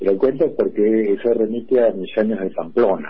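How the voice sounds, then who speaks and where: A man talks at a fairly quick pace in a fairly low pitch. He has a normal speaking voice. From Buenos Aires, Argentina. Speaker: art restorer and communications scholar. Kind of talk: interview conversation.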